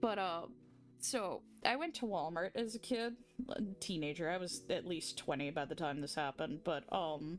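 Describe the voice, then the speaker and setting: With music in the background, a woman with an American accent speaks at a moderate pace and a fairly low pitch. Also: lively intonation. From US South. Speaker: streamer. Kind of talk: casual chat. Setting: livestream while drawing.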